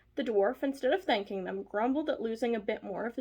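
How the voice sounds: A natural reading voice, its pitch variation ordinary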